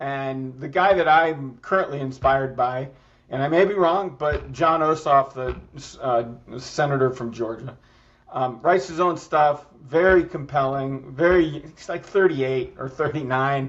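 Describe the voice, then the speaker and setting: A man with an American accent has an unremarkable speaking voice at a fairly high pitch. He talks at a fairly slow pace with ordinary pitch variation. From Michigan (Ann Arbor). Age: 60s. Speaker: political strategist. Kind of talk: interview. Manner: casual, conversational.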